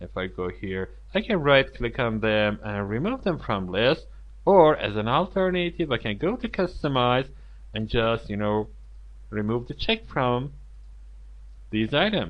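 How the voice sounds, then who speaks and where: A man speaks with a non-native accent. His speech has long, frequent pauses. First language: not English. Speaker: software tutorial instructor. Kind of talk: screen-recorded tutorial. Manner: halting, many fillers.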